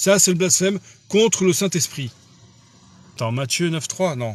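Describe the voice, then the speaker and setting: A man is speaking. His voice has a high pitch. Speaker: preacher. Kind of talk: bible study teaching. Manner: halting.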